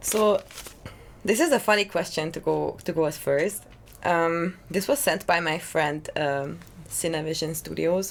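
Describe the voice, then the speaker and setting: A woman talks at a fairly slow pace with a fairly low pitch and vocal fry. Her pitch varies in an ordinary way. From Hungary. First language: Hungarian. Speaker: singer-songwriter. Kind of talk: casual interview chat. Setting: drinking rum during chat. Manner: hesitant, many fillers.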